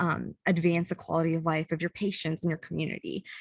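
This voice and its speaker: The sound is dry and close, without any echo. A woman talks at a fairly low pitch. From US Midwest, Chicago. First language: not English. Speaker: public health graduate student. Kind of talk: panel presentation. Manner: casual, many fillers.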